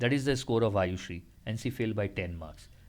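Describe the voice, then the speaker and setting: With lively intonation and a somewhat breathy quality, a man speaks at a moderate pace and a fairly low pitch. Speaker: maths aptitude tutor. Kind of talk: tutorial.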